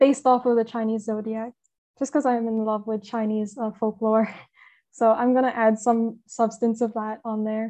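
Over a quiet background, a woman with a fairly high pitch speaks at a moderate pace in a dark, mellow tone with monotone, flat intonation. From Hong Kong. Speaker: comic artist. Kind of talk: casual interview.

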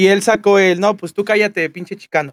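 Speaking with a Mexican accent, a man talks at a fairly quick pace in a high pitch, with a dry, close sound and no echo. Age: 20s. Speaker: streamer and student. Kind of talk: casual chat.

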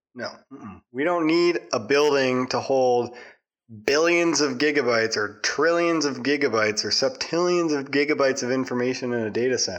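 This man has an ordinary speaking voice, talking at a moderate pace and medium pitch with ordinary pitch variation. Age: 20s. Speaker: podcast co-host. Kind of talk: casual chat.

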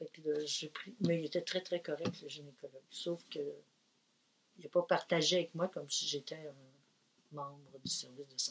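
At a moderate pace, a woman with a fairly low voice speaks in a monotone, flat way, with big swings in loudness and long, frequent pauses. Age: 70s. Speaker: retired midwife. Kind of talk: interview.

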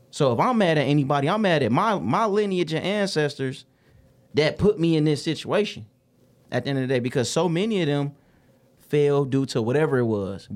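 With lively intonation, a man speaks at a fairly quick pace in a fairly high voice. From US Midwest, Detroit West Side. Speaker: musician. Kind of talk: casual conversation.

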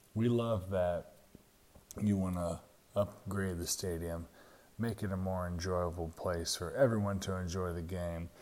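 With a Southern US accent, the speaker talks at a fairly slow pace and with fairly even intonation in a very clean recording with a silent background. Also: man, very deep, low pitch for a man. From Jacksonville, Florida. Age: 30s. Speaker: sports podcast host. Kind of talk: solo sports commentary.

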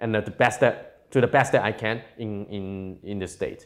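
A man with a Cantonese accent at a moderate pace, in a very clean recording with a silent background. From Hong Kong. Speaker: tech entrepreneur. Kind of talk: interview. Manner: halting.

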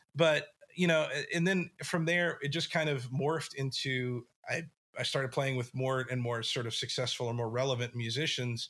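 The speaker is a man with a medium pitch. His tone is bright and sharp. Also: ordinary pitch variation, moderate pace. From West Texas, small town. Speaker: musician and event producer. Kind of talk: casual interview chat. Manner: halting, many fillers and restarts.

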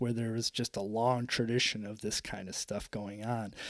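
A man speaks with an American accent at a fairly low pitch. His tone is fairly bright, and his pitch moves very little. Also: moderate pace.

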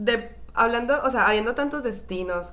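Audible room echo surrounds this woman's voice, whose pitch varies in an ordinary way. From Colombia, Cali. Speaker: podcast co-host. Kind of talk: casual chat.

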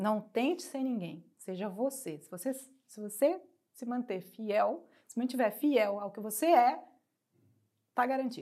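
In a Brazilian accent, a woman with a fairly high pitch speaks at a fairly slow pace, with lively intonation and big swings in loudness. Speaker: actress and TV presenter. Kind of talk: casual interview. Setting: studio.

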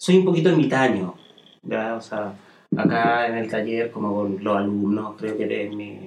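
Fairly slow, fairly low-pitched speech from a man, with long, frequent pauses. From Chile, Santiago. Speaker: fashion designer and tailoring teacher. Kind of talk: casual interview. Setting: studio.

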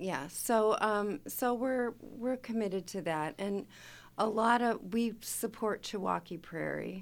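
Speaking very slowly with an American accent, a woman uses medium pitch and ordinary pitch variation on a very clean recording with a silent background. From Chicago. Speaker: chapter president, retired data analyst. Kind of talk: casual radio interview. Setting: studio.

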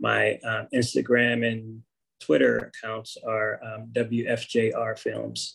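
A man with an American accent at a very slow pace, his loudness swinging widely. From Pittsburgh, Pennsylvania. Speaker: documentary filmmaker. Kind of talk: interview. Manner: halting, many fillers.

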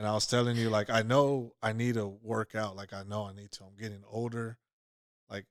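A man's monotone, flat intonation at a medium pitch and fairly quick pace, on a very clean recording with a silent background. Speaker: podcast co-host. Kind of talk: casual chat. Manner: sounds blunt, mean-toned.

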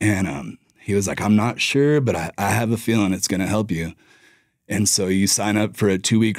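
An unremarkable speaking voice from a man, fairly low in pitch, at a moderate pace with fairly even intonation, on a very clean recording with a silent background. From Colorado (Durango). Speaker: business owner. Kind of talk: casual chat.

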